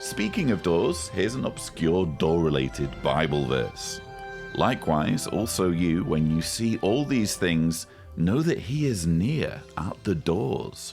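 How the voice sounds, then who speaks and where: Over music in the background, the voice moves at a very slow pace with very wide pitch swings and very even loudness. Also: man, very deep, low pitch for a man. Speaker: activist. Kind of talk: comedic parody nature-documentary narration.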